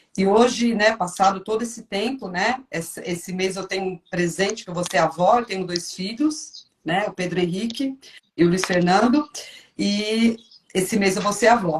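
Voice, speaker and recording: A woman with an unremarkable speaking voice talks at a moderate pace in a medium pitch, with ordinary pitch variation. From São Paulo, Brazil. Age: 50s. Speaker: churchgoer sharing testimony. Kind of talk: testimony.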